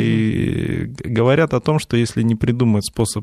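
Speaking at a fairly slow pace, a man has an ordinary speaking voice at medium pitch. The sound is dry and close, with no echo. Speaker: visual effects supervisor and teacher. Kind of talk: radio interview. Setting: studio.

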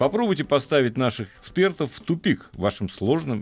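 The voice moves at a moderate pace and swings very widely in pitch. There is vocal fry throughout. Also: man. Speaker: radio host. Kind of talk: casual chat. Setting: studio.

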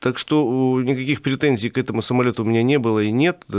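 A plain, everyday voice moves at a moderate pace with ordinary pitch variation. The sound is dry and close with no echo, over a quiet background. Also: man. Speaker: automotive columnist. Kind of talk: radio talk show discussion. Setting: studio.

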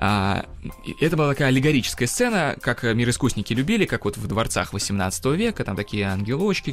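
This man talks at a fairly quick pace with lively intonation. Noticeable background noise runs underneath. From Russia, Kazan. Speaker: engineer and tour guide. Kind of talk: educational radio interview.

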